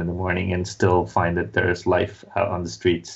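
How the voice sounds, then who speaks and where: A man is speaking. His voice is somewhat breathy. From Mumbai, India. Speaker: comic book writer. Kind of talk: casual interview. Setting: remote call from London.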